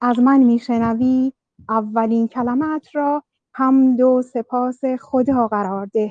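At a very slow pace, a woman with a high pitch and a dark, mellow tone speaks in fairly even intonation, the sound dry and close with no echo. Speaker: podcast participant. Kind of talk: group discussion. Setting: online voice chat.

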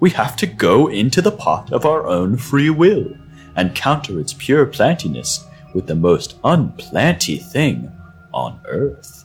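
A man's squeaky put-on character voice, medium in pitch and fairly slow, with faint music in the background. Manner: brisk, authoritative.

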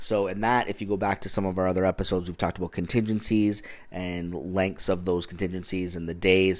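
A man's very deep, low voice at a very fast pace, monotone and flat, with hardly any pauses, on a very clean recording with a silent background. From Ontario, Canada. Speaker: real estate agent, podcast host. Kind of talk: solo educational podcast. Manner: casual, many filler words.

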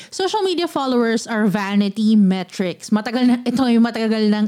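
A woman's dark, mellow tone at a moderate pace. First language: Filipino. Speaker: podcast host. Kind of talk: casual chat.

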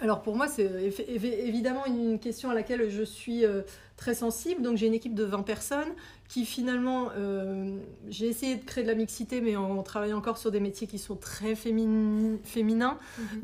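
A woman with a fairly high, dark and mellow voice speaks at a moderate pace in a very clean recording with a silent background. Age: 30s. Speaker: program director. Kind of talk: interview. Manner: halting.

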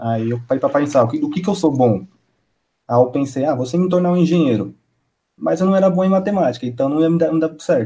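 At a fairly quick pace, a man with a fairly high pitch speaks in a somewhat breathy, dark, mellow tone with lively intonation. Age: 20s. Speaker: DJ and music producer. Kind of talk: casual chat.

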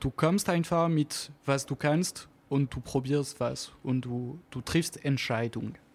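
Very slow speech in a strong French accent with fairly even intonation, in a very clean recording with a silent background. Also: man. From French Alps near Geneva, France. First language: French (speaking German). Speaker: jazz double bassist. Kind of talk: radio interview. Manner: halting, searching for words.

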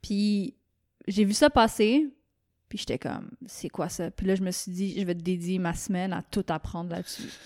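In a normal speaking voice, a woman talks at a medium pitch with ordinary pitch variation, the sound dry and close with no echo on a very clean recording with a silent background. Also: moderate pace. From Quebec. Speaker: painter. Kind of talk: casual chat. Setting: studio.

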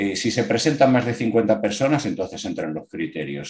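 Against a quiet background, a man talks at a moderate pace in an unremarkable speaking voice. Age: 60s. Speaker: amateur triathlete. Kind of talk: casual interview.

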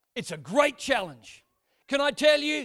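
In a very clean recording with a silent background, a man with an Australian accent speaks at a moderate pace in a bright, sharp tone. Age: 40s. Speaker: pastor. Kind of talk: sermon. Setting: church.

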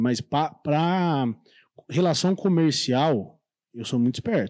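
A dark, mellow tone with lively intonation against a quiet background. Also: man. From São Paulo state. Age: 30s. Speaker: shop owner. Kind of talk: casual chat.

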